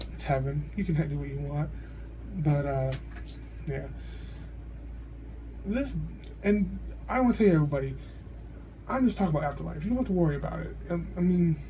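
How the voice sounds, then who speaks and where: Amid audible room echo, a man talks at a fairly quick pace, broken by long, frequent pauses. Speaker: video blogger. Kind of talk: casual monologue. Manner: loud.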